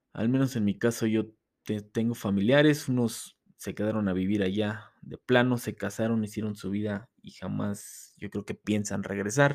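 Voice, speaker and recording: With a Mexico City accent, a man speaks at a fairly low pitch with fairly even intonation and hardly any pauses. The recording is very clean, with a silent background. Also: moderate pace. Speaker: podcast host. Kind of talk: casual monologue.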